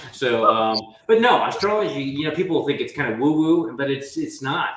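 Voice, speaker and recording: A man pitched fairly high talks with lively intonation at a moderate speed, noticeable noise running behind him. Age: 60s. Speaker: podcast host. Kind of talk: podcast interview.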